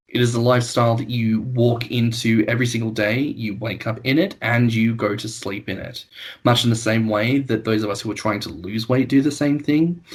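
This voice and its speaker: A man with an Australian accent, medium pitch, somewhat breathy, at a fairly quick pace with hardly any pauses and fairly even intonation. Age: 20s. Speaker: podcast host. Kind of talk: casual chat.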